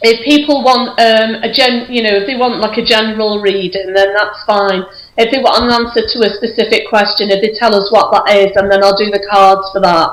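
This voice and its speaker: A woman with a fairly high pitch talks at a fairly quick pace with hardly any pauses and fairly even intonation, over noticeable background noise. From northwest England, Runcorn, Cheshire. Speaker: clairvoyant medium. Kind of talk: casual chat. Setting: Skype call.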